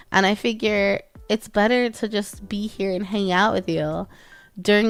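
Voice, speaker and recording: A woman speaks at a moderate pace with a medium pitch and fairly even intonation. Music plays in the background. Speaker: vtuber streamer. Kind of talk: casual chat. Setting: live stream. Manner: halting.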